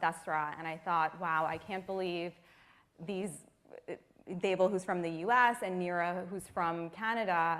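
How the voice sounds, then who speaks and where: A woman with an ordinary speaking voice and an American accent talks at a fairly slow pace and fairly low pitch, her intonation fairly even, on a very clean recording with a silent background. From US. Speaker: nonprofit staff member. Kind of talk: panel discussion.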